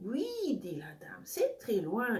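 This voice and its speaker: High-pitched female put-on character voice. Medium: read story.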